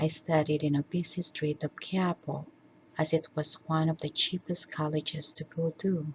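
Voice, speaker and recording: Somewhat breathy, a woman speaks at a moderate pace in a very deep, low voice. Her intonation stays flat and monotone. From Philippines. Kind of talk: personal life story narration.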